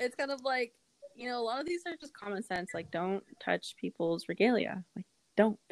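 The voice moves at a moderate pace, with very wide pitch swings and big swings in loudness. The sound is dry and close, with no echo. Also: woman, fairly high pitch for a woman. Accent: American. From Kansas, US. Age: 20s. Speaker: state legislator. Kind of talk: casual chat.

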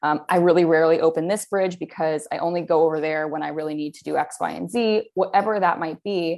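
Against a quiet background, a woman talks at a fairly quick pace. She has an unremarkable speaking voice with a fairly low pitch. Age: 30s. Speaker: writer. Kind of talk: casual chat.

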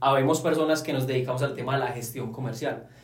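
Over noticeable background noise and audible room echo, a man with a fairly high voice speaks with fairly even intonation. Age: 20s. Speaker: sales consultant. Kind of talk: casual chat.

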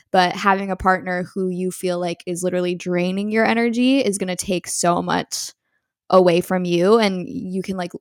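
A woman with an American accent talks at a moderate pace in a medium pitch. The recording is very clean with a silent background and a dry, close sound with no echo. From New York. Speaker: podcast host. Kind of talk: casual chat. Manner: animated.

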